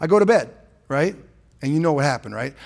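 With an American accent, a man speaks in an animated tone at a fairly high pitch. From San Francisco, California. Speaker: pastor. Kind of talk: sermon. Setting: church.

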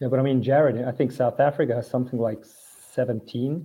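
A man with a German accent speaks at medium pitch, somewhat breathy, in a flat monotone. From Switzerland. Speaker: swimmer. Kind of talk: casual chat.

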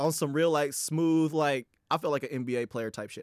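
A man with a normal speaking voice, fairly high in pitch with ordinary variation, dry and close with no echo, very clean recording and silent background. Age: 20s. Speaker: podcast co-host. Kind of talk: casual chat.

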